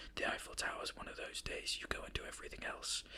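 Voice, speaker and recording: A speaker whispers with a British accent. The voice stays hushed throughout. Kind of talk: ASMR whispered ramble. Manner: whispered; hesitant, rambling.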